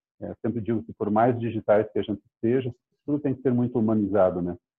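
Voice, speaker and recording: Fairly even in intonation, a man talks at a medium pitch in an ordinary speaking voice. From Curitiba, Brazil. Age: 50s. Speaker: real estate startup CEO. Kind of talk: interview.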